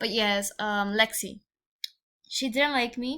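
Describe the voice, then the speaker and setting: A woman with a strong Mexican accent speaks in a bright, sharp tone with fairly even intonation. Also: very clean recording, silent background. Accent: thick Mexican Spanish. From Mexico. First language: Spanish. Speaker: podcaster. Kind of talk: podcast monologue. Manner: halting.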